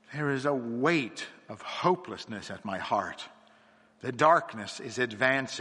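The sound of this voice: The clip is an unforced reading voice with ordinary pitch variation.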